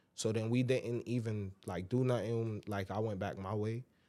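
A man with an American accent speaks at a medium pitch in a dark, mellow tone with fairly even intonation. The recording is very clean, with a silent background. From Brooklyn, New York City (Brownsville). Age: 20s. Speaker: stand-up comedian and rapper. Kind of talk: casual chat. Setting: studio.

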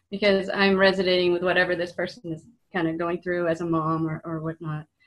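A woman speaks at a moderate pace in a medium-pitched voice, an ordinary speaking voice. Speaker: co-host. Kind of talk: casual interview chat.

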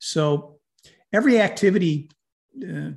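A man with an American accent speaks in an unremarkable speaking voice, pitched fairly high. His intonation is lively, and the background is quiet. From upstate New York. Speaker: community development organisation co-founder. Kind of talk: interview.

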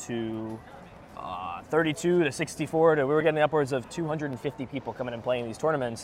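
A man's fairly high voice with an American accent at a moderate pace, ordinary pitch variation, and noticeable background noise. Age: young. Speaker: card game commentator and competitive player. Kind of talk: interview conversation.

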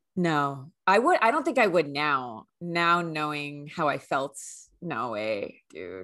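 In a Californian accent, a woman with a very deep, low pitch talks very slowly against a quiet background, her pitch swinging very widely. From US West Coast, San Francisco Bay Area. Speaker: podcast co-host. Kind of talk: casual chat. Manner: animated.

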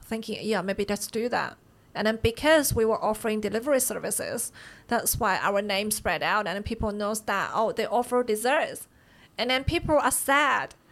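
The speaker has a Chinese accent. The recording is very clean, with a silent background. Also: woman. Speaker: bakery owner. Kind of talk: casual interview.

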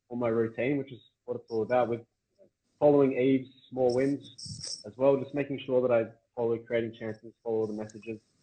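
A man with an Australian accent, medium pitch, monotone, flat intonation and a very fast pace. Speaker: podcast host. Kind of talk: casual interview chat.

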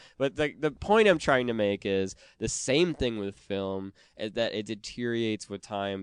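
In an American accent, a man with an unremarkable speaking voice talks at a moderate pace and a fairly low pitch with ordinary pitch variation, the sound dry and close with no echo over a quiet background. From Wisconsin, US Upper Midwest. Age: 30s. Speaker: podcast producer. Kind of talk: casual chat.

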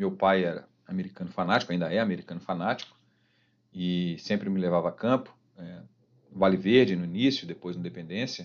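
Against a quiet background, a man speaks very fast at a fairly low pitch with ordinary pitch variation. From Minas Gerais, Brazil (Belo Horizonte, Ouro Branco). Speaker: football fan, former youth team director and kit man. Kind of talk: casual interview.

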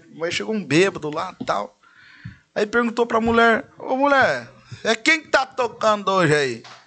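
A man with a high pitch and a bright, sharp tone speaks in a raised, projected voice. He talks at a moderate pace with very wide pitch swings. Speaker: singer and radio announcer. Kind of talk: casual chat.

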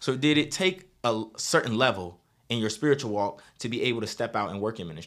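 A man's energetic, fairly quick delivery in an American accent, medium in pitch with lively intonation. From Virginia. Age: 20s. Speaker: youth pastor and podcast host. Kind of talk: podcast hosting and interview.

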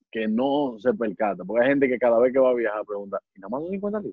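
With lively intonation and medium pitch, a man talks in an unremarkable speaking voice. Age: 20s. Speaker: comedian and impressionist. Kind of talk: casual chat.

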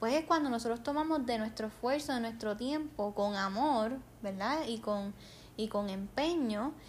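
A woman with a Puerto Rican accent speaks at a fairly high pitch. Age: 20s. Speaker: podcast host and nurse. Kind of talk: casual chat. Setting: home living room.

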